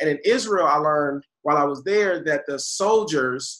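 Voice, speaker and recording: A man's fairly high voice with a bright, sharp tone and an American accent. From Buffalo, New York. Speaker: education advocate. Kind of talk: interview.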